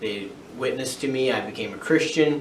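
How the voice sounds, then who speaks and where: At a fairly slow pace, a man with an American accent talks with ordinary pitch variation, amid audible room echo and noticeable background noise. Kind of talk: personal testimony vlog. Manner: halting.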